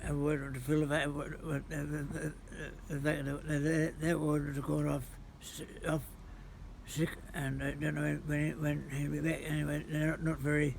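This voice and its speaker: A man talks at a moderate pace, leaving long, frequent pauses. Noticeable background noise runs underneath. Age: 80s+. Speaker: war veteran. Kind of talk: interview answer. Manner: halting, repetitive.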